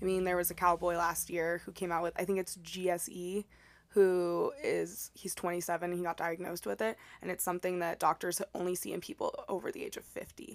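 A woman's fairly low, monotone, flat voice with an American accent, at a fairly quick pace in a very clean recording with a silent background. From Texas, El Paso. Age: 20s. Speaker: podcast guest. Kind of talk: casual chat. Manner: soft-spoken.

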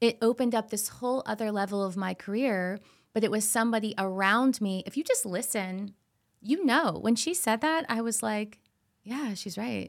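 Speaking with an American accent, a woman has a normal speaking voice. Her pitch is fairly high and her pace moderate. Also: very clean recording, silent background. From Florida. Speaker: TV host and actress. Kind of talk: casual interview chat.

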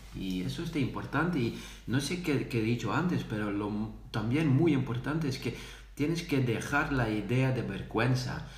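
A man's medium-pitched voice at a moderate pace, with ordinary pitch variation and audible room echo. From Netherlands. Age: 30s. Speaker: salesperson. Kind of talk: casual chat. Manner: halting, many fillers.

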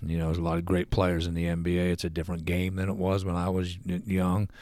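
A man with a Midwestern US accent speaks in a very deep, low pitch and a monotone, flat intonation. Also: very clean recording, silent background. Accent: US Midwest. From Ohio (Lima). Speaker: retired father of host. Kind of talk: casual chat. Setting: at home. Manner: halting.

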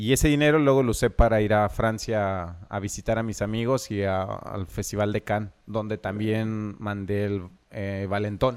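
In an unremarkable speaking voice, a man with a fairly low pitch and fairly even intonation talks at a moderate pace with hardly any pauses. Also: very clean recording, silent background. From Mexico, Michoacán (Zacapu). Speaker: filmmaker. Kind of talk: casual interview.

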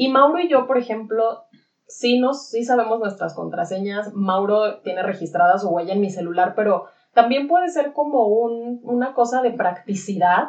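Lively intonation marks this woman's fairly high voice, delivered with a Mexican accent. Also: moderate pace. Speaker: podcast co-host. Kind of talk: casual chat.

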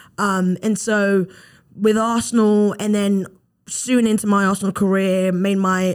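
On a very clean recording with a silent background, a woman with a British accent speaks at a medium pitch in a monotone, flat intonation. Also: very even loudness. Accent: British, noticeable. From London, England. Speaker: former pro footballer, graduate assistant. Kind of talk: casual interview.

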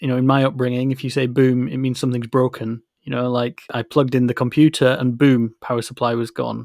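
A man speaks with a Yorkshire accent. His pitch is medium and his intonation monotone and flat. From West Yorkshire, northern England. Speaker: podcast co-host, mobile app developer. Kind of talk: casual chat.

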